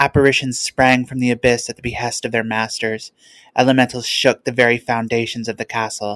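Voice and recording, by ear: Someone is reading aloud. The delivery is in a natural voice.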